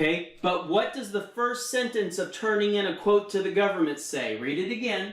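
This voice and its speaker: A man's high voice with an American accent, ordinary pitch variation and hardly any pauses, over noticeable background noise. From Texas. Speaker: federal construction consultant and teacher. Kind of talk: one-on-one tutoring session. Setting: video call. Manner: slow.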